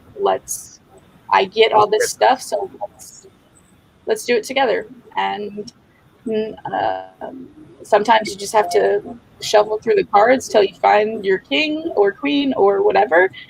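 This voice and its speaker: A woman speaks at a fairly slow pace with long, frequent pauses over noticeable background noise. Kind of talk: interview. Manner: casual, filler-heavy.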